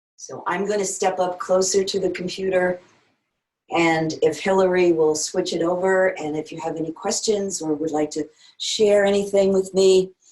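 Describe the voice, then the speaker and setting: Here a woman talks at a moderate pace and a medium pitch. Her intonation is monotone and flat. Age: 70s. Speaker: yoga teacher. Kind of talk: casual chat.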